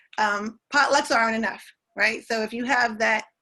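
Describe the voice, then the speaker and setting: A woman with a slight West Indian accent speaks at a moderate pace in a bright, sharp tone. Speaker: school diversity advocate. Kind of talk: presentation in an online community meeting. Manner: halting, many fillers and restarts.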